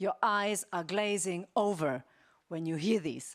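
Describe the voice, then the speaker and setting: Very slowly, a woman with a German accent speaks at a fairly low pitch and ordinary pitch variation, on a very clean recording with a silent background. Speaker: ethics keynote speaker. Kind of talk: conference keynote. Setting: stage with audience. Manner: conversational with fillers.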